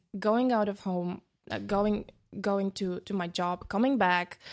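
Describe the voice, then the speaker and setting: A woman speaks at a medium pitch in a flat monotone against a quiet background. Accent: Bulgarian. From Bulgaria, small town. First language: Bulgarian. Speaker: DJ and producer. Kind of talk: interview. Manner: halting.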